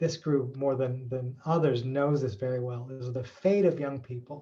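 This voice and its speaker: This man has a medium pitch and a dark, mellow tone, somewhat breathy, with ordinary pitch variation. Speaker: researcher. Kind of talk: webinar talk. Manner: halting.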